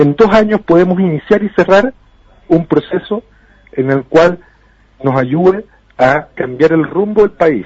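Pausing long and often, a man speaks fairly slowly in a high voice with lively intonation. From Chile. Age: 20s. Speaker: politician. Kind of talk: interview.

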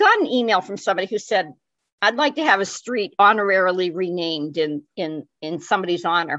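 Over a quiet background, a woman with a medium pitch speaks in a bright, sharp tone with lively intonation. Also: fairly quick pace. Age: 70s. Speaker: guest, activist. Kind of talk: conversational interview.

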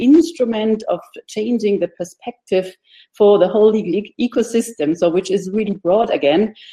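Her tone dark and mellow, a woman speaks at a moderate pace with a fairly high pitch. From Germany. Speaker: lawyer and designer. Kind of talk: panel discussion.

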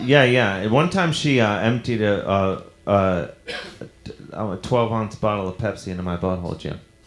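A man speaks in a fairly low pitch with a playful tone and ordinary pitch variation. His pace is moderate, and there is noticeable background noise. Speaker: comedian podcast host. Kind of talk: live comedy show banter. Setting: stage with audience. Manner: joking, playful.

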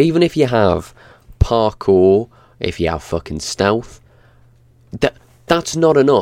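Here is a man with a plain, everyday voice at a medium pitch and lively intonation. He keeps a moderate pace, and the sound is dry and close with no echo. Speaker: podcast co-host. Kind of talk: casual chat. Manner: swearing, casual.

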